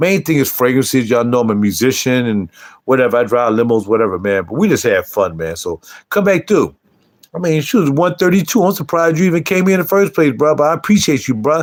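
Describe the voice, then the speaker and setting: Loud and animated, a man talks at a very fast pace with a fairly high pitch and very wide pitch swings. The recording is very clean, with a silent background. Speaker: YouTube livestreamer and fragrance reviewer. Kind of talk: casual livestream chat.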